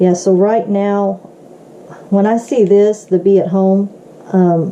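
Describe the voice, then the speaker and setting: The voice moves at a very slow pace with monotone, flat intonation and very even loudness, against noticeable background noise. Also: woman, medium pitch for a woman. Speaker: tarot card reader. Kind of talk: tarot reading to camera. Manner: halting, with many fillers.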